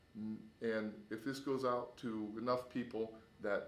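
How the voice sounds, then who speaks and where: The man has an unremarkable speaking voice at medium pitch with fairly even intonation. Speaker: neighbor raising funds for an elderly man. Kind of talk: charity appeal to camera.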